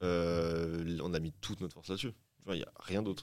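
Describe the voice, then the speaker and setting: A man talks at a fairly quick pace. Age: 30s. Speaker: independent record label founder. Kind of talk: round-table discussion. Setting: studio.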